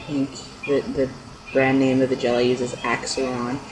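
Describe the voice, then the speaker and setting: Noticeable background noise behind a man at a medium pitch. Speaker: vlogger. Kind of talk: casual video diary. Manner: halting, many fillers.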